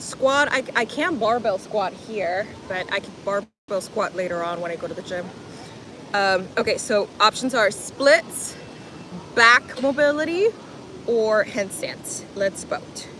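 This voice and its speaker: A woman with a slight Spanish accent speaks at a fairly slow pace and a fairly high pitch. Her intonation is lively, and her loudness swings widely. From Miami, US (born in Colombia). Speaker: fitness livestreamer, former gymnastics coach. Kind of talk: live stream chat while exercising.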